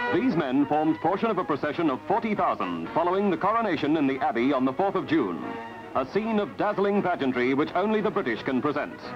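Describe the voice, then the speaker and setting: Over music in the background, a man speaks at a very fast pace with lively intonation and very even loudness. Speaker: newsreel narrator. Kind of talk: newsreel narration.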